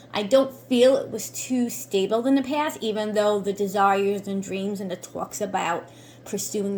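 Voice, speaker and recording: Medium pitch and ordinary pitch variation in a woman's somewhat breathy voice. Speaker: tarot reader and reiki practitioner. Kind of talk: tarot card reading.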